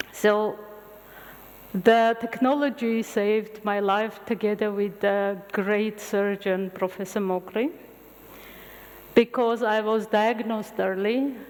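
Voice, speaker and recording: A woman in an Armenian accent, fairly high in pitch, very slow with long, frequent pauses and fairly even intonation. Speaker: medical scientist lecturer. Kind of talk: lecture.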